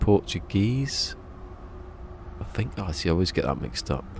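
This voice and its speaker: A man speaks at a moderate pace with a Berkshire accent. His pitch varies in an ordinary way over light background noise. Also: dry sound with no echo. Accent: Berkshire accent, between Bristol and London. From southern England, Berkshire; southern England. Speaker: video game live streamer. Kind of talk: casual live stream chat. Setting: live stream. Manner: chill and relaxing. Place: home room. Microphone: studio mic.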